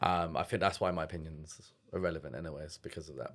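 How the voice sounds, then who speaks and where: A man speaks with a London accent at a moderate pace. The recording is very clean, with a silent background. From East London (Stratford / Forest Gate). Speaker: start-up founder. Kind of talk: casual chat. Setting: studio.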